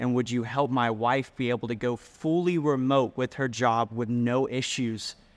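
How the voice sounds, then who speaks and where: The voice is a plain, everyday voice at a moderate pace. Its intonation is fairly even and its loudness very even. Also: man, medium pitch for a man, hardly any pauses. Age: 20s. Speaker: youth pastor. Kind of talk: testimony.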